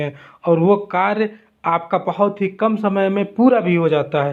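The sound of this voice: The speaker goes at a fairly slow pace. Pitch varies in an ordinary way. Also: man.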